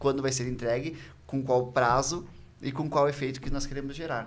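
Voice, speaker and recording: A man is speaking. Room echo is audible. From Porto Alegre, southern Brazil. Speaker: marketing agency co-founder. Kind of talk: casual interview chat.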